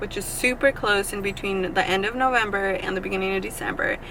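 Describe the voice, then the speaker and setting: A woman with a medium pitch and ordinary pitch variation talks fairly quickly as noticeable noise plays behind her. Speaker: vlogger. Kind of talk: casual chat. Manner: stumbling.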